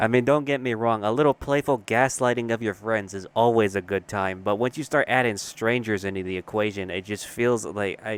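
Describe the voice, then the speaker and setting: A fairly quick pace with ordinary variation in pitch. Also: man. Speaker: commentary youtuber. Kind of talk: comedic rant. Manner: soft-spoken; animated.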